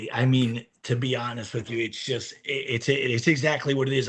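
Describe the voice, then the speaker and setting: With a New York accent, a man speaks at a moderate pace and a medium pitch. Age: 50s. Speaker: recovering alcoholic, former business owner. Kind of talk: interview testimony.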